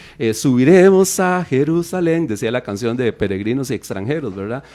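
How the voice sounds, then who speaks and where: A man's medium-pitched voice, dark and mellow in tone, fairly quick, with very wide pitch swings. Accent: English. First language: English (speaking Spanish). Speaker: radio Bible teacher. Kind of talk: radio Bible teaching talk. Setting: live radio studio broadcast.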